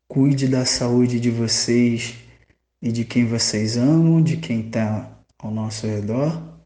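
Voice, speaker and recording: Audible room echo surrounds a man with a dark, mellow tone. He speaks very slowly with fairly even intonation. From Rio de Janeiro state, Brazil. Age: 30s. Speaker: public administrator and cultural museum head. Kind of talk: interview.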